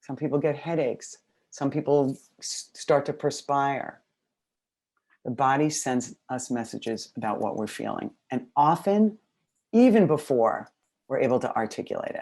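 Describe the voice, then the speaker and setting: With an American accent, a woman speaks in a dark, mellow tone at a very deep, low pitch, using lively intonation at a moderate pace with long, frequent pauses. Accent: New York accent when excited. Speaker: educational consultant. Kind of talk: webinar presentation. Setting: video call webinar. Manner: fairly quiet.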